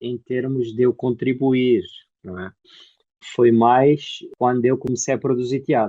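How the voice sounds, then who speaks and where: With an Angolan accent, a man talks at a fairly slow pace in a medium pitch. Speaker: actor and theatre producer. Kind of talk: interview.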